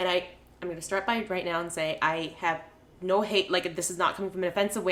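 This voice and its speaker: A woman speaks in an animated tone at a medium pitch. Her pace is very fast. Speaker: podcast co-host. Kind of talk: casual chat. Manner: animated, ranting.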